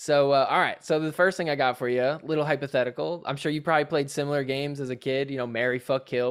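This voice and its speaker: At a very fast pace, a man with an American accent talks in a fairly high pitch with ordinary pitch variation. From New Jersey. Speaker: podcast host. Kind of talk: casual chat. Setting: video call.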